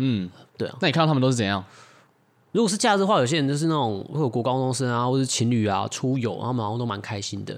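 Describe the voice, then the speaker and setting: A man speaks at a very fast pace with lively intonation and a medium pitch. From Taiwan (Taichung or Tainan). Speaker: podcast co-host. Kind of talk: casual chat.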